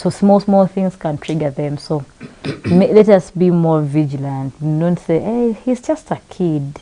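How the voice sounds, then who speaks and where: Over noticeable background noise, a woman with a fairly low pitch speaks at a fairly slow pace with ordinary pitch variation. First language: not English. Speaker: talk show host. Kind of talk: panel discussion. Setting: live broadcast.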